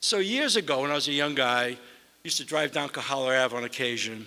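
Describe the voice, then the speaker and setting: Here a man talks with a Boston accent at a moderate pace. His tone is bright and sharp. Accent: Boston accent, still noticeable. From US Northeast (Boston). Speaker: mayor. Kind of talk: award ceremony speech. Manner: hesitant, conversational.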